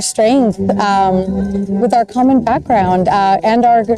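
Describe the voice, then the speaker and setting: Music plays in the background as a woman speaks at a fairly slow pace with ordinary pitch variation. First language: Spanish. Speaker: doctor. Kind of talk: interview.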